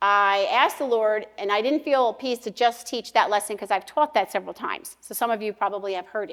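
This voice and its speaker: A woman's fairly high voice with an American accent, ordinary pitch variation, big swings in loudness and hardly any pauses, in a very clean recording with a silent background. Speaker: pastor's wife and women's speaker. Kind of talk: women's conference talk. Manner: fast, nonstop talker.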